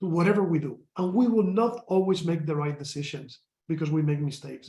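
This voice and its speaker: Speaking at a fairly quick pace with lively intonation, a man talks in a Spanish accent. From Spain. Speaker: company executive. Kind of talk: panel discussion.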